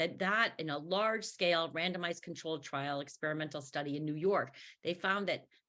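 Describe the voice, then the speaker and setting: A woman speaks with an American accent in a fairly low pitch and a bright, sharp tone. The recording is very clean, with a silent background. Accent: Chicago accent, with some Canadian. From US Midwest, Chicago. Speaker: professor of education. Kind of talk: panel discussion.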